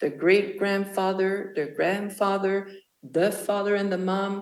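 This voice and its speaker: A woman with a French-Canadian accent, medium in pitch, at a very slow pace, with audible room echo. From Quebec. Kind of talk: speech. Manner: halting.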